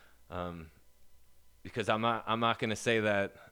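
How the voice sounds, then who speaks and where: A man's bright, sharp tone at a moderate pace, with ordinary pitch variation, on a very clean recording with a silent background. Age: 30s. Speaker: person in addiction recovery. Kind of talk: testimony. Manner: halting.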